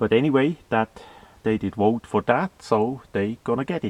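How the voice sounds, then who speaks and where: The speaker talks at a fairly slow pace with a Swiss German accent and ordinary pitch variation. The sound is dry and close, with no echo. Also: man. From Switzerland, German-speaking. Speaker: video blogger. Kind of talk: monologue commentary. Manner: halting, many fillers.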